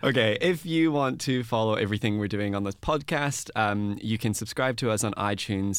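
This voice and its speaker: This man talks in an Australian accent, his pitch in the medium range. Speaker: podcast host. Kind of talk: casual interview. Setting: studio.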